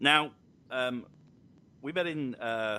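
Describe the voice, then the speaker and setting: Lively, medium-pitched male speech. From England, Somerset. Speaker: podcast host and holiday park entertainer. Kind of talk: casual chat.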